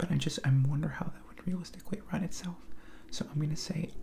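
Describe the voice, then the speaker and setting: A man talks in a high voice with fairly even intonation. Light background noise can be heard. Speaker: video creator taking a political quiz. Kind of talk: casual vlog chat. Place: home room. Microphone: headset.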